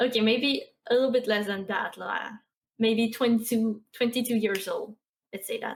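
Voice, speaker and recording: With a Quebec accent, a woman talks at a moderate pace in a fairly high, flat monotone. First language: French. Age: 20s. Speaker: Twitch streamer and artist. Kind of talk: casual interview chat.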